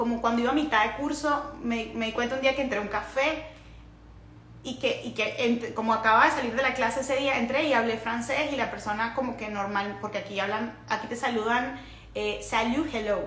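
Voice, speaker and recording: Talking at a fairly quick pace in a fairly high voice, a woman is heard with audible room echo and noticeable background noise. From Venezuela, Caracas. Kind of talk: casual livestream talk. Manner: animated.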